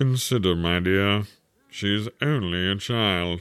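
A man puts on a character voice at a fairly low pitch and a fairly slow pace. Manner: timid, fussy, pompous.

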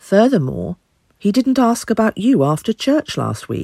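A woman with a British accent speaks at a moderate pace. Her pitch swings very widely, and the sound is dry and close with no echo. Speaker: voice actor playing an aunt. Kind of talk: cozy mystery audio drama, letter read in character. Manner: prim, tart, huffy older English lady voice, sardonic and gossipy.

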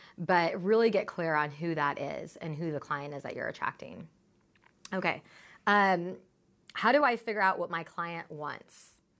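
On a very clean recording with a silent background, a woman speaks at a moderate pace. Her fairly low pitch carries lively intonation. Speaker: podcast host. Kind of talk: solo podcast monologue. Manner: filler-heavy, casual.

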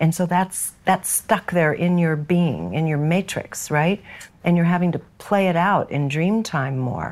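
In an American accent, an ordinary speaking voice proceeds at a fairly slow pace with ordinary pitch variation on a very clean recording with a silent background. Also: woman, fairly low pitch for a woman. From San Francisco, US West Coast. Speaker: podcast host. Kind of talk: interview.

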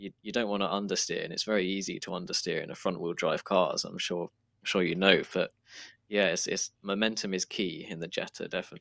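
In a British accent, a man talks at a very fast pace on a very clean recording with a silent background. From southern England. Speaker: sim racer. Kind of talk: casual interview.

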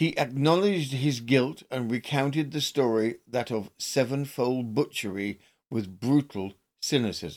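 A man's unremarkable speaking voice at medium pitch, with ordinary pitch variation. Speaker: true crime podcast host. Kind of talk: newsreading of period newspaper accounts; scripted narration. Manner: formal, measured, grave; steady, deliberate narration.

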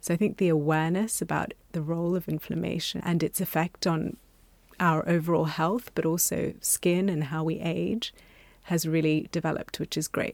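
A woman's fairly low-pitched voice at a moderate pace, a normal speaking voice. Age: 40s. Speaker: doctor. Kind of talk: casual chat.

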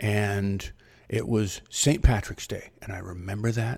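Somewhat breathy and fairly low in pitch, a man speaks in an American accent. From US Midwest (Ohio). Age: 60s. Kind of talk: solo monologue podcast. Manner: halting, many fillers.

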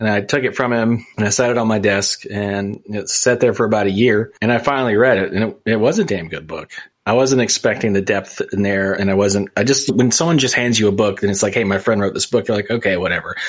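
A man talks at a very fast pace with an American accent. His pitch is fairly low and his intonation fairly even. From US, small town. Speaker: podcast host. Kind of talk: casual interview chat.

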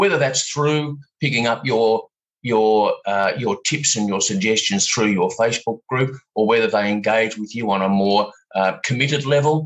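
The speaker has a normal speaking voice at a moderate pace. Pitch variation is ordinary. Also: man, medium pitch for a man. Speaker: podcast host. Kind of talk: interview conversation. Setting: video call.

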